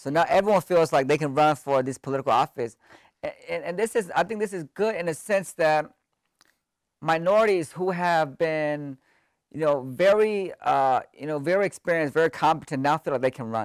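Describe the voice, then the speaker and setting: A man speaks at a fairly quick pace in a fairly high pitch, with ordinary pitch variation and a dry, close sound with no echo. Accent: Californian. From US West Coast (Sacramento, California), Hmong family. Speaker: professor. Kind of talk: casual interview. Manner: hesitant, many filler words.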